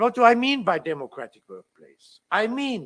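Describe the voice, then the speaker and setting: Speaking at a moderate pace, a man with a German accent has a high pitch. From Germany. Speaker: labour law professor. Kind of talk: conference talk.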